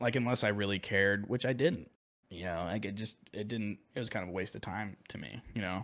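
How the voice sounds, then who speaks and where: A man with an American accent speaks in a fairly low pitch with ordinary pitch variation. The recording is very clean, with a silent background. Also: fairly quick pace. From US Midwest (Quad Cities, Illinois). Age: 20s. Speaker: aspiring streamer and part-time bartender. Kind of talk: casual chat.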